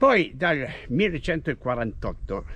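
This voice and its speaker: A man talks in a bright, sharp tone at a fairly high pitch, with very wide pitch swings. Vocal fry runs through his voice. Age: 80s+. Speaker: retired cyclist and runner. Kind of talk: casual chat.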